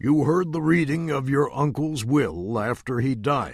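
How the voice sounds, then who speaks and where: A man uses a put-on character voice at a fairly high pitch. He speaks at a fairly slow pace with ordinary pitch variation. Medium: read story. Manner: severe and serious.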